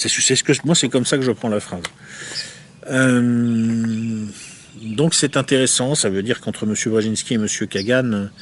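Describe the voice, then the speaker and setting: Over noticeable background noise, a man at medium pitch talks at a fairly slow pace with fairly even intonation and long, frequent pauses. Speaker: essayist reviewing a book. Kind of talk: book review monologue. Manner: hesitant, many filler words.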